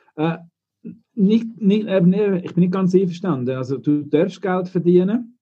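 Speaking at a very slow pace, a man talks in a high pitch. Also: ordinary pitch variation. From Switzerland, Engadin. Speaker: laundry operations manager. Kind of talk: casual discussion. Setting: video call.

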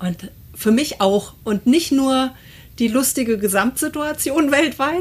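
Delivery is very slow in pace but lively in intonation. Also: woman, high pitch for a woman. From Hesse, Germany (Assenheim). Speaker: podcast guest. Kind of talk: casual chat.

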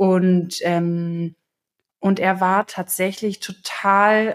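Fairly even intonation marks a woman's medium-pitched, normal speaking voice. It's a very clean recording with a silent background. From Germany, Potsdam. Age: 20s. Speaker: interview guest, recently married bride. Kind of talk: casual interview.

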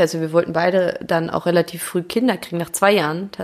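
Very fast pace from a female speaker amid noticeable background noise. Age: 30s. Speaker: footballer's wife and mother. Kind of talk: casual chat.

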